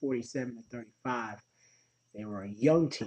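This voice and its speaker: In a normal speaking voice with an American accent, a man talks at a fairly slow pace with ordinary pitch variation. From Ohio, Cleveland area. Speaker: podcast host. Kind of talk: solo podcast monologue. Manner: frequent filler words.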